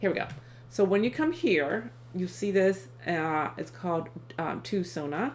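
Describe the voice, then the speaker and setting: With vocal fry and very wide pitch swings, a woman speaks at a fairly slow pace and a fairly low pitch. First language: Thai. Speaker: tech YouTuber reviewing AI tools. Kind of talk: screen-share tutorial. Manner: many fillers, halting.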